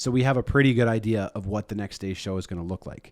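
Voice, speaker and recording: Speaking at a fairly quick pace with a Canadian accent, a plain, everyday voice shows ordinary pitch variation. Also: man, very clean recording, silent background. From Saskatchewan, Canada (Saskatoon). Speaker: radio host. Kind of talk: casual chat. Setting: studio with live audience. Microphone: very close to the mic.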